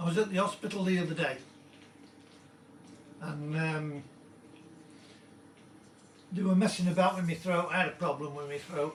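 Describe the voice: A man's croaky, fairly high voice carries fairly even intonation at a moderate pace. Long, frequent pauses and audible room echo fill the clip.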